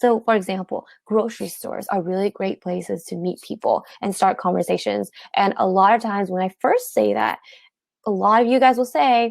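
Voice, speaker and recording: The voice has ordinary pitch variation and a dry, close sound with no echo. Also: woman, medium pitch for a woman. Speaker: dating coach. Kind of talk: webinar presentation. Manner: fast; animated.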